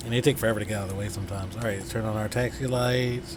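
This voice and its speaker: A man talks with fairly even intonation, with audible room echo and noticeable background noise around him. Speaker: flight sim streamer. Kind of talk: live game commentary. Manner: stuttering today.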